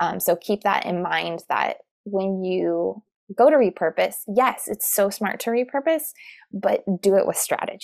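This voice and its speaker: A woman speaks at a fairly slow pace with a General American accent. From Arizona (Tucson). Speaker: podcast and video consultant, former teacher. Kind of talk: interview.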